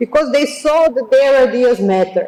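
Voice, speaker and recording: A woman with a Serbian accent speaks at a fairly slow pace in a dark, mellow tone. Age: 40s. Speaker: architect and lecturer. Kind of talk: lecture. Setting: auditorium. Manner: halting.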